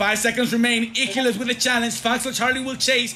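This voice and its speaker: Music plays in the background. A man speaks in a raised, projected voice. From Mexico. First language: Spanish. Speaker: esports caster. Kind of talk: live commentary. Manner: animated.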